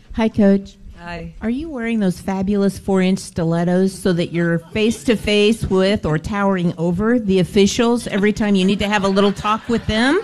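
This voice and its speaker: A woman at a medium pitch and moderate pace, with ordinary pitch variation and hardly any pauses, over noticeable background noise. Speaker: women's basketball head coach. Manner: earnest, conversational with filler words.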